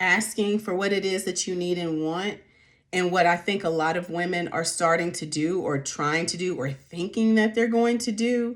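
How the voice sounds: Her pitch is fairly low, with ordinary variation, as a woman speaks at a moderate pace. The recording is very clean, with a silent background.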